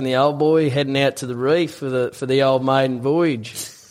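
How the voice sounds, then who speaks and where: An Australian accent from a man, moderate in pace and flat, monotone in intonation. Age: 20s. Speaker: tradesman and former rugby league player. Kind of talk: telling a joke; casual chat.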